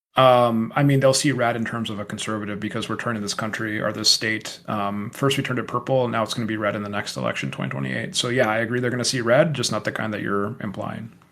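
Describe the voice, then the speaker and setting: Over noticeable background noise, a man with an American accent talks at a very fast pace with hardly any pauses, at a medium pitch with ordinary pitch variation. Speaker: podcast co-host, electrical engineer. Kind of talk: casual debate. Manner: animated.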